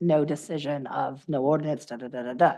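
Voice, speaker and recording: Speaking fairly slowly, a woman has a dark, mellow tone and ordinary pitch variation. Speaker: town official. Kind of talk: public hearing.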